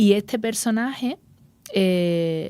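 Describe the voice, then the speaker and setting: This woman has an Andalusian accent and a dark, mellow tone. She speaks at a very slow pace. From Andalusia, Spain. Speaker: actress. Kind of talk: interview. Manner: halting, many repetitions and fillers.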